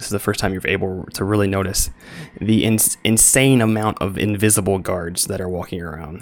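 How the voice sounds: Fairly even intonation shapes this natural reading voice.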